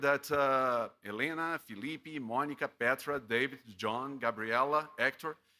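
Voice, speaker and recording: A man with a Portuguese accent talks at a moderate pace in a fairly high pitch with ordinary pitch variation. His tone is bright and sharp, and the recording is very clean with a silent background. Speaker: professor. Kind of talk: graduation speech. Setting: ceremony broadcast from studio. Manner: halting, many fillers.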